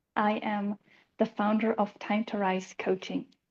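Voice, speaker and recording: A woman in a Swiss accent, fairly high-pitched and somewhat breathy, at a fairly slow pace over a quiet background. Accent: Swiss accent, noticeable. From Switzerland. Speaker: life coach. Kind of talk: self-introduction on panel.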